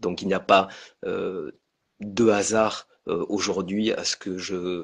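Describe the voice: A man's low voice carries a slightly husky edge and vocal fry. He speaks at a fairly slow pace with little pitch movement.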